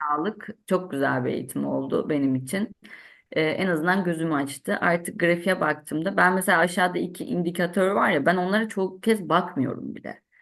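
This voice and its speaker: Her voice is fairly low for a woman and carries vocal fry. She keeps a moderate pace with ordinary pitch variation. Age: 30s. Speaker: civil servant, trading student. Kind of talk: testimony.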